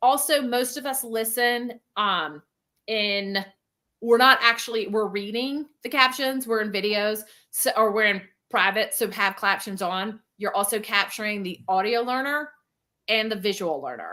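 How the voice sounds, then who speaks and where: Speaking at a fairly slow pace, a woman uses a fairly high pitch with ordinary pitch variation and a bright, sharp tone. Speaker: business coach. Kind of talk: live teaching webinar with Q&A. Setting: livestream. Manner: animated.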